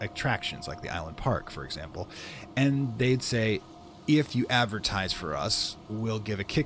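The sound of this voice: The voice reads without strain. Its delivery stays unforced from start to finish.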